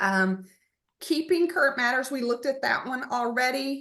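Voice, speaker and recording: This woman's high-pitched voice moves with lively intonation. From Texas, Splendora area. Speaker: real estate agent. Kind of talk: online market update presentation. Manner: fast.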